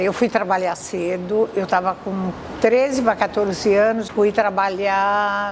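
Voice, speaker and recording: At a very slow pace, a woman with a medium pitch talks with fairly even intonation over noticeable background noise. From São Paulo state, Brazil. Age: 70s. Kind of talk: testimony.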